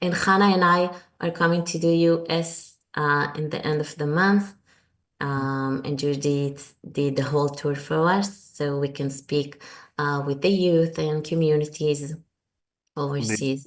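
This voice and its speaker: A woman talks at a fairly slow pace in an Israeli accent. Her pitch is very deep and low, and her intonation is fairly even. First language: Hebrew. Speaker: author. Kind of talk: interview. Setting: video call. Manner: halting.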